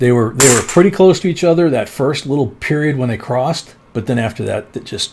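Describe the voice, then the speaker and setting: A man speaks at a fairly quick clip in a medium pitch, his intonation lively and his voice somewhat breathy. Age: 60s. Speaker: coin collecting live streamer. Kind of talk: live stream chat. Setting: live stream with co-host. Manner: casual, conversational.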